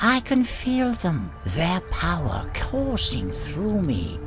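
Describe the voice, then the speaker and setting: Over loud music in the background, a man does a put-on character voice at a fairly slow pace. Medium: read story. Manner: smug, condescending.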